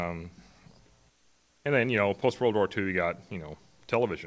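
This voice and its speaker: A man speaks with a lively intonation. His pace is fairly quick. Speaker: conference speaker. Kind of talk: conference talk. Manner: halting.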